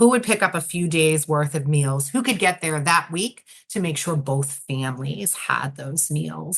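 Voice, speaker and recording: A woman with a New York accent, at a moderate pace. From New York City. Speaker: nonprofit director. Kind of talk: interview.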